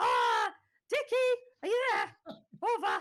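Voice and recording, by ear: This put-on character voice is squeaky and extremely high, delivered at a fairly slow pace.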